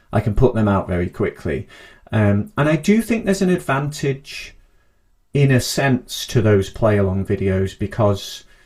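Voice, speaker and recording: In a very clean recording with a silent background, a somewhat breathy man speaks with very wide pitch swings. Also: medium pitch for a man, moderate pace. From northern England, Manchester and Cheshire. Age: 30s. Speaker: harmonica teacher. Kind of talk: interview.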